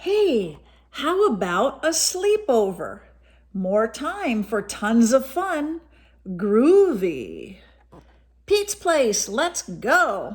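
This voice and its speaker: A woman puts on a character voice, high in pitch with very wide pitch swings. She speaks at a very slow pace. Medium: read story. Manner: laid-back, groovy.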